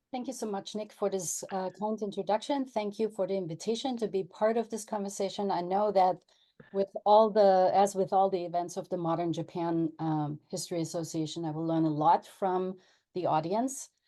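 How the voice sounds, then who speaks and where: Her German accent and dark, mellow tone come through as a woman speaks at a moderate pace with ordinary pitch variation. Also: medium pitch for a woman. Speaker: professor and journal editor. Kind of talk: panel talk. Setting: video call.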